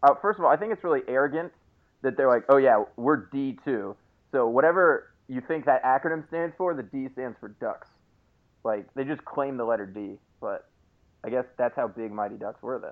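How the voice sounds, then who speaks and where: At a moderate pace, a man talks in an unremarkable speaking voice, his loudness swinging widely. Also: medium pitch for a man, lively intonation. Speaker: podcast co-host. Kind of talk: casual chat.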